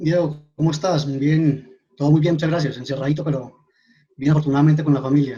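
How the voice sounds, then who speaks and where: A man with a fairly high pitch talks very fast in a dark, mellow, somewhat breathy tone with monotone, flat intonation. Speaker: mining formalization coordinator. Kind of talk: webinar presentation.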